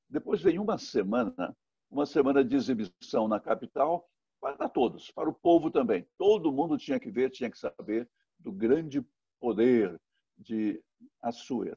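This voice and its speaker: Talking at a moderate pace, a man with a dark, mellow tone makes very wide pitch swings. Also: fairly high pitch for a man, dry, close sound with no echo. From Brazil, Minas Gerais (Guanhães). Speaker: pastor. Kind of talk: sermon. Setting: recorded online worship service. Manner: repetitive, self-correcting.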